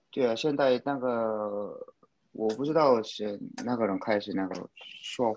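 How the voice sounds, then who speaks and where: A man's voice at medium pitch, with ordinary pitch variation and a very slow pace. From South Korea. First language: Korean (speaking Chinese). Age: 30s. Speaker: guest, Korean language learner and traveler. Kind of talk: casual chat. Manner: halting, many fillers.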